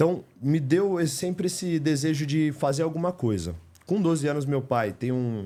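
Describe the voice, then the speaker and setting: With a Paulista accent, a man speaks at a moderate pace, his fairly high pitch carrying a dark, mellow tone and lively intonation. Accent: Paulista Brazilian Portuguese. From Greater São Paulo, Brazil (São Caetano). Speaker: house painter turned business owner. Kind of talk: podcast interview. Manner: animated.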